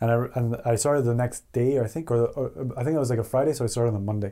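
This man talks at a very fast pace in a Canadian accent. His medium-pitched voice has a dark, mellow tone. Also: very clean recording, silent background. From Canada, Alberta (Edmonton). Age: 30s. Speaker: animator and studio co-founder. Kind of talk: casual interview.

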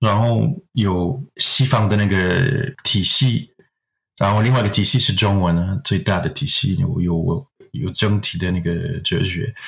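A man with a French accent talks at a fairly slow pace. His pitch is fairly low, with ordinary variation. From Quebec, Canada. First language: French (speaking Chinese). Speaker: acupuncturist. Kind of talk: interview. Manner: halting.

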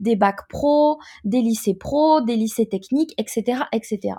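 A woman's fairly high voice has a dark, mellow tone and ordinary pitch variation, on a very clean recording with a silent background. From Ivory Coast and France. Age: 20s. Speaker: guest. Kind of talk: interview.

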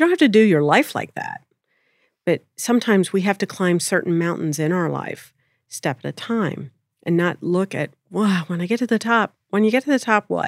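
A woman with an American accent speaks at a medium pitch and moderate pace, in an unremarkable speaking voice. The recording is very clean and dry, close, with no echo and a silent background. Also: lively intonation. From Pennsylvania. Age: 30s. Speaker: spiritual teacher and channeler. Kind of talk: interview conversation. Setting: studio.

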